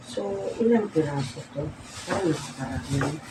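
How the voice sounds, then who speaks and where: Clear background noise accompanies delivery that is somewhat unhurried. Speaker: vlogger. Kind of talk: unboxing vlog. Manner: halting.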